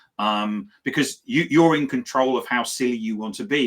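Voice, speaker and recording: Speaking with a British accent at a moderate pace, a man is heard on a very clean recording with a silent background. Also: big swings in loudness. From Britain. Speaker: business talk show host. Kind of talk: casual chat.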